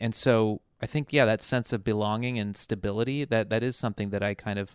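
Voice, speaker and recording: Against a quiet background with a dry, close sound and no echo, a man with a General American accent speaks fairly quickly at a fairly low pitch with fairly even intonation. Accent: flat Burbank accent, general American. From US South (military bases abroad, then Mississippi, Alabama, Florida, Texas). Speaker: television writer. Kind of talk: podcast interview.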